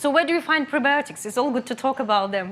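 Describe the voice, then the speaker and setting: Her speech comes at a very fast pace, with a Russian accent. The woman's intonation is lively. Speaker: nutritionist. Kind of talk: lecture. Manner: halting.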